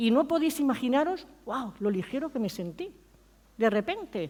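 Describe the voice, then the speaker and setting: A woman talks at a fairly slow pace in a high pitch. Her pitch swings very widely. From Spain. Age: 60s. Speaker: pastor. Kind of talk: sermon.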